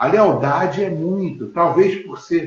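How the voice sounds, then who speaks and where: A man's somewhat breathy voice moves at a very slow pace. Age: 60s. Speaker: lawyer and physical education teacher. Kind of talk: interview on a live stream. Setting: live stream video call. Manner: halting, many fillers.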